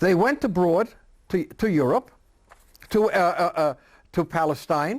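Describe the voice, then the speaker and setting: A man's high voice at a fairly slow pace, with long, frequent pauses and very even loudness. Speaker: grandfather recounting family history. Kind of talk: oral history interview answer. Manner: hesitant, conversational, many filler sounds.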